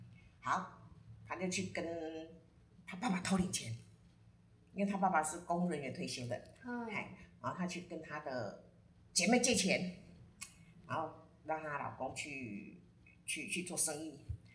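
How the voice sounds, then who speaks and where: Lively intonation, big swings in loudness, a fairly slow pace and long, frequent pauses, with audible room echo and noticeable background noise. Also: woman, fairly low pitch for a woman. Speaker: astrology guest sharing a friend's chart. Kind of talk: casual storytelling chat.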